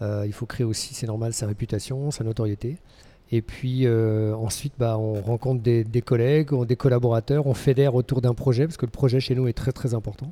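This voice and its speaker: Using fairly even intonation, a man talks at a moderate pace and a medium pitch. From Brittany, France (Lorient). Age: 50s. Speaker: fitness school founder. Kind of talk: interview. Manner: halting, repeats words.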